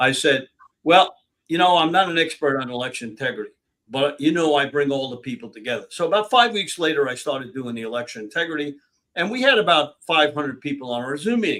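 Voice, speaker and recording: A fairly high-pitched man talks at a very fast pace. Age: 80s+. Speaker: political activist. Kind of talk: interview. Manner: energetic, barely pausing for breath.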